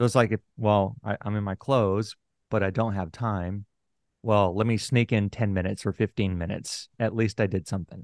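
A man with an American accent talks at a fairly quick pace in a normal speaking voice, his pitch fairly low and his intonation fairly even. The sound is dry and close with no echo, over a quiet background. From Houston, Texas. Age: 40s. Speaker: author and podcast host. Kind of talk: interview conversation.

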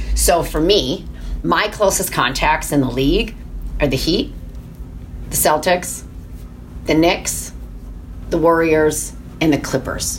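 A woman with an American accent talks at a fairly slow pace, with long, frequent pauses and very even loudness. Noticeable background noise and audible room echo are present. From Michigan. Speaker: sports team executive. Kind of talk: interview.

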